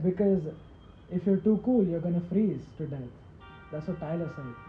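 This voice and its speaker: Background music can be heard. The delivery proceeds at a moderate pace. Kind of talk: casual chat. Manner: halting.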